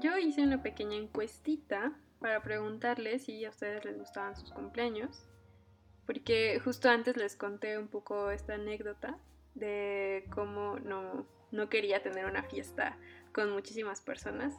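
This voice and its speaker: A woman's fairly slow speech comes with music in the background. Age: 20s. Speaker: podcast host. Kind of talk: casual chat.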